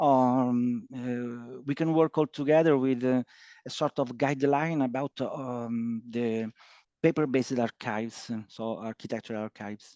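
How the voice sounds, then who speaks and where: Against a quiet background, a man with an Italian accent speaks at a fairly slow pace and medium pitch, his dark, mellow tone and fairly even intonation heard in a dry, close sound with no echo. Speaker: archivist, book author. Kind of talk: webinar closing discussion. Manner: halting, hesitant.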